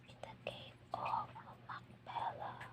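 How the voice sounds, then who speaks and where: Someone is whispering at a very slow pace. Noticeable background noise is present. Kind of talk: whispered scripture reading for relaxation. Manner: whispered, soft-spoken, slow.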